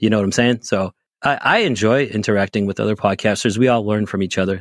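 A man with an American accent speaks in a normal speaking voice at a fairly low pitch, with ordinary pitch variation. The recording is very clean with a silent background, and the sound is dry and close with no echo. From US Northeast, Boston area. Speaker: podcast host and band tour manager. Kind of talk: casual chat.

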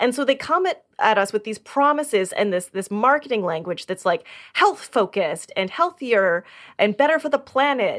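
On a very clean recording with a silent background, a woman speaks at a moderate pace in a high voice with very wide pitch swings. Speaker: podcast co-host. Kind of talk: casual chat. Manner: loud.

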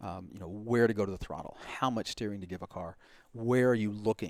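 The speaker has an unremarkable speaking voice with an American accent, talking at a fairly quick pace with ordinary pitch variation. The sound is dry and close, with no echo. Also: man. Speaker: driving instructor. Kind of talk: casual chat.

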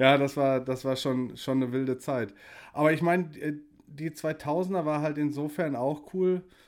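Speaking fairly slowly, a man uses an ordinary speaking voice, fairly high in pitch, with fairly even intonation. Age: 40s. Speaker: podcast host. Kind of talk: casual chat.

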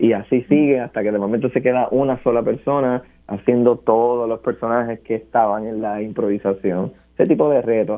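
This man has an unremarkable speaking voice, medium pitch and fairly even intonation, and he moves at a fairly quick pace. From Puerto Rico, Barranquitas. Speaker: scientist and theatre performer. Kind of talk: interview.

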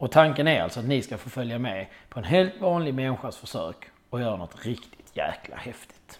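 This man talks at a fairly quick pace in a medium pitch. His voice makes very wide pitch swings and big swings in loudness. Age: 40s. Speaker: podcast host and amateur triathlete. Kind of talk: scripted monologue.

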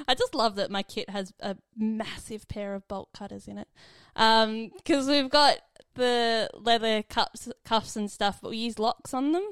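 Recorded very cleanly with a silent background and a dry, close sound with no echo, a woman speaks at a fairly slow pace with ordinary pitch variation and big swings in loudness. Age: 20s. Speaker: nurse. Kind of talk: casual chat. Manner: hesitant, many fillers.

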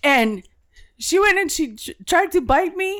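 A woman's extremely high voice moves with lively intonation. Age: middle-aged. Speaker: podcast co-host. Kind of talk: casual chat.

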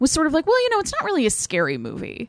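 A woman's playful tone at a very fast pace. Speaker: podcast co-host. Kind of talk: casual chat. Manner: joking, playful.

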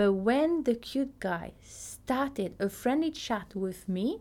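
With a French accent, a woman talks at a fairly high pitch and a fairly slow pace, her pitch swinging very widely. The recording is very clean, with a silent background. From Tahiti. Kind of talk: podcast monologue, personal story and teaching.

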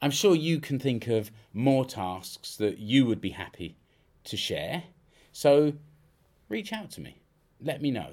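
A man with a British accent speaks at a fairly slow pace and medium pitch. His voice makes very wide pitch swings and big swings in loudness. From UK. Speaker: podcast host and freelance business consultant. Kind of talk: solo podcast monologue. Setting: home studio.

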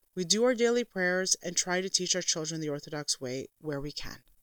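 A woman with a plain, everyday voice and a fairly low pitch talks at a moderate pace with ordinary pitch variation, in a dry, close sound with no echo. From Canada. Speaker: podcast host, homeschooling mother. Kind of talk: scripted monologue.

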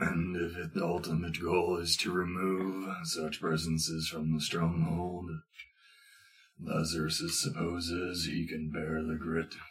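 Putting on a character voice, a man talks at a fairly slow pace in a raspy, very deep, low pitch. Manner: stiff, formal, refers to self in third person.

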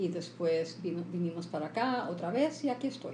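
A woman's fairly low voice with very wide pitch swings at a moderate pace, with audible room echo. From Cuba, Havana; left at about 10 for the US. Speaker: interpreter and translator. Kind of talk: interview. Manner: halting.

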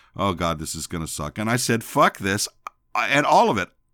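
Against a silent background in a very clean recording, a man with an American accent speaks fairly quickly in a bright, sharp tone with vocal fry. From Texas. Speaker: podcast host. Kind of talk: casual monologue. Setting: home office. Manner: loud; halting, many fillers.

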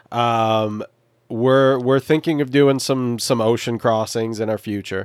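A man speaks in a normal speaking voice at a medium pitch and a moderate pace. His intonation is fairly even, and the sound is dry and close with no echo. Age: 30s. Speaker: sailor living aboard a boat. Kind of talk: casual chat.

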